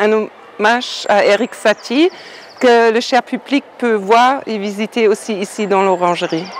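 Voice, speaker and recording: A woman with a fairly high pitch and ordinary pitch variation, at a fairly slow pace, over noticeable background noise. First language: German (speaking French). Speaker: painter. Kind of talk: interview. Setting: outdoors. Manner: halting.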